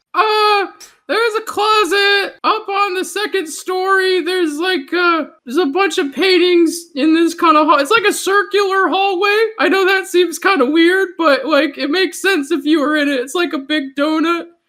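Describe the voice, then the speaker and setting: A put-on character voice with extremely high pitch moves at a moderate pace. There are hardly any pauses. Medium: actual play. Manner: stammering, rambling, nervous.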